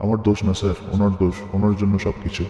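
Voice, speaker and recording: A man speaks fairly quickly in a put-on character voice, his fairly low pitch held in a flat monotone, with a clear echo and light background noise. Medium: audio drama.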